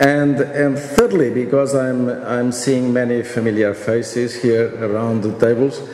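Audible room echo and light background noise accompany a man speaking at a fairly slow pace with fairly even intonation. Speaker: panel chairman giving a conference address. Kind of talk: formal speech. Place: hall. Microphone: podium.

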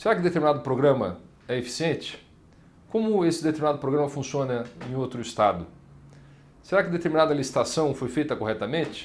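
Fairly quick yet broken by long, frequent pauses, a man talks with lively intonation. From Paraná, Brazil (Maringá); Paraná, Brazil. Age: 30s. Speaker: state legislator; politician interviewee. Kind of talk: interview. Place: office.

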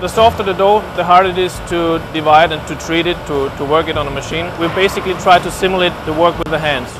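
A man talks at a fairly quick pace with a high pitch and fairly even intonation. Noticeable background noise is present. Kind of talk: interview answer. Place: factory. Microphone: lapel.

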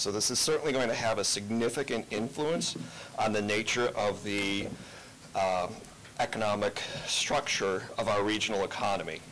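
A man talks at a fairly low pitch and moderate pace with ordinary pitch variation. His loudness stays very even over light background noise. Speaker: economist. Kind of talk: committee testimony. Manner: formal. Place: hall. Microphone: podium.

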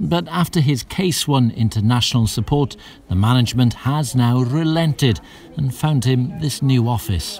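This man has a plain, everyday voice at medium pitch with lively intonation. His pace is moderate and his loudness stays very even. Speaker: news reporter. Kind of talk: TV news report.

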